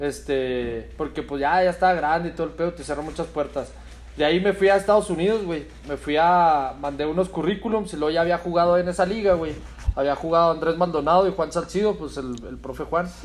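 A man with an unremarkable speaking voice, fairly high-pitched, ordinary pitch variation and a fairly quick pace. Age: 30s. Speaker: footballer. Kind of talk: casual chat.

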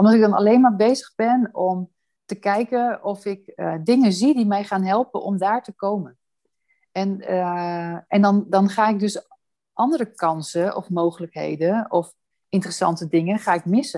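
Moderately paced, a woman's dark, mellow voice sits at medium pitch with ordinary pitch variation. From Amsterdam, Netherlands. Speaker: housing association director. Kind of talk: interview. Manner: hesitant with fillers.

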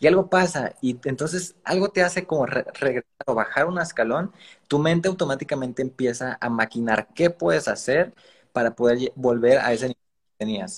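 A somewhat breathy man at a moderate pace, fairly high in pitch with lively intonation, in a dry, close sound with no echo. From Mexico, Veracruz. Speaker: digital marketer. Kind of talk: interview on a live stream.

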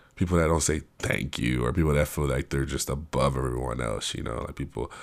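The recording is very clean, against a silent background. A man talks with vocal fry and ordinary pitch variation. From Africa. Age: 20s. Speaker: podcast host, university student. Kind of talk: solo monologue podcast. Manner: casual, halting with repetitions.

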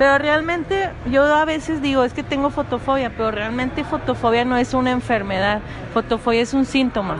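Against noticeable background noise, a woman talks in a high pitch. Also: ordinary pitch variation. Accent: strong Monterrey. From Monterrey, Mexico. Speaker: podcast guest. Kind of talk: casual chat. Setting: apartment recording.

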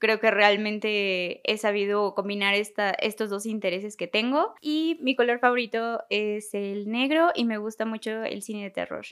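A woman with an unremarkable speaking voice talks at a fairly slow pace with hardly any pauses. Her pitch is fairly high, with ordinary pitch variation. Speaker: agency team member. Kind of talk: self-introduction in podcast. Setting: office.

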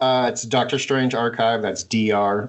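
A man with an American accent and a fairly low pitch, amid noticeable background noise. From Montana. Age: 50s. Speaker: card collector and detective. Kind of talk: casual chat.

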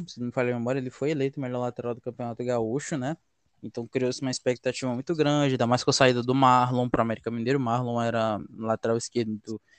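His pace is very fast. The man keeps his intonation fairly even. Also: dry, close sound with no echo. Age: 20s. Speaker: football podcast co-host. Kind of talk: casual football analysis chat.

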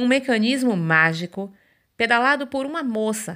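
The voice of a woman, very cleanly recorded against a silent background. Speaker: podcast host reading a poem. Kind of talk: spoken word poetry reading. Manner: lyrical, measured, tender; gentle, warm storytelling cadence.

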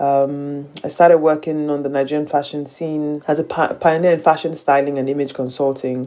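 A woman's very deep, low voice with a dark, mellow tone, monotone and flat in intonation, at a fairly quick pace. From Nigeria. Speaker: fashion entrepreneur. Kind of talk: interview.

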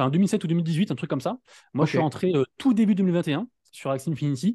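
A man with a dark, mellow tone speaks at a fairly quick pace with lively intonation. The background is quiet. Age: 30s. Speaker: NFT news YouTuber. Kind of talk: casual chat. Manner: fast, poorly articulated.

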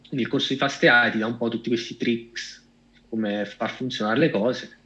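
The speaker is a man. His voice rests at a medium pitch. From Italy, Cassino (Lazio). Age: 30s. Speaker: AI director and data scientist. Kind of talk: interview.

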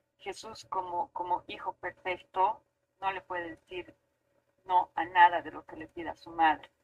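Recorded with a dry, close sound with no echo, a woman speaks in an ordinary speaking voice at a medium pitch. Her intonation is fairly even, but her loudness swings widely. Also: fairly slow pace. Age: 40s. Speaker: architect. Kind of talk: casual chat.

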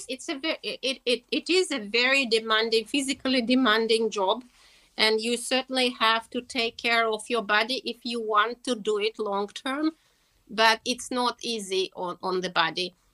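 A woman speaks at a moderate pace in a Russian accent. Her fairly high voice has ordinary pitch variation and a dry, close sound with no echo. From Russia, Moscow. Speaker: horse keeper and equine therapist. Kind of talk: interview. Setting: video call.

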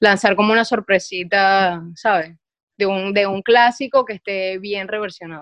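Against a quiet background, a woman with an ordinary speaking voice and a medium pitch talks at a fairly slow pace with fairly even intonation. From Venezuela, Maracaibo. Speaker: DJ. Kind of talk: casual chat.

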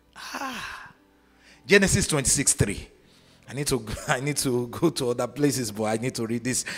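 Music plays in the background as a man speaks in an animated tone at a medium pitch. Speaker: preacher. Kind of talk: sermon to live conference audience, call-and-response. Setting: stage with audience. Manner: animated, commanding, rousing; shouts prayers and declarations, urges crowd to shout back.

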